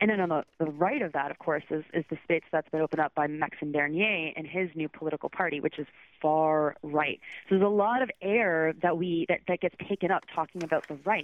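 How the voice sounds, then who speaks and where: With a Canadian accent, a woman talks at a fairly quick pace in a very deep, low voice with ordinary pitch variation. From Southern Ontario. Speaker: freelance journalist and podcast co-host. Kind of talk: radio interview. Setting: phone call.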